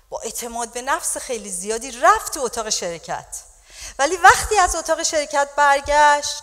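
Her intonation is lively and her voice is high-pitched. The woman keeps a moderate pace against a quiet background. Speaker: pastor preaching. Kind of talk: sermon. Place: church. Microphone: handheld.

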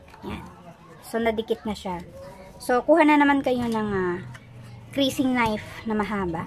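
A woman's fairly high voice at a fairly slow pace, with ordinary pitch variation, long, frequent pauses and noticeable background noise. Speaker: crafts tutorial vlogger. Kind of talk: tutorial. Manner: halting, with fillers.

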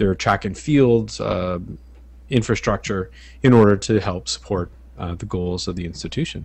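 An ordinary speaking voice from a man, fairly low in pitch, with ordinary pitch variation and a dry sound with no echo. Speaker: guest. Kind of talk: discussion. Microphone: headset.

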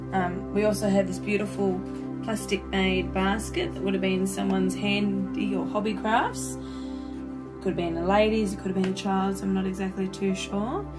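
With clear music behind her, a woman talks at a moderate pace. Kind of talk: casual vlog chat. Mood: warm and enthusiastic. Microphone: phone near.

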